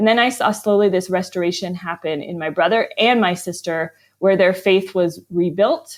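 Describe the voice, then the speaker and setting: In an American accent, a plain, everyday voice moves at a moderate pace with ordinary pitch variation and hardly any pauses. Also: woman, medium pitch for a woman. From US, Arizona and Vermont. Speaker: author. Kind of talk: interview.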